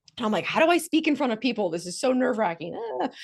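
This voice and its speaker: A woman speaks in an animated tone with lively intonation. The background is quiet. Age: 40s. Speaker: recruitment agency founder and speaker. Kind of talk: webinar presentation. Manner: fast.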